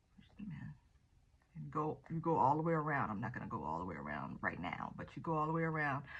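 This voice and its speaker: Vocal fry with a Southern US accent. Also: woman. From US South. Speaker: gardening vlogger. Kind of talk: tutorial. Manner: casual, with frequent fillers.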